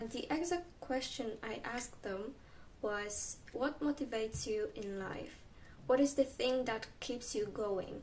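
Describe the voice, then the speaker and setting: A woman talks fairly slowly in a high voice with a Polish accent. Her pitch varies in an ordinary way over noticeable background noise. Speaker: video creator. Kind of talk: reading aloud; vlog monologue.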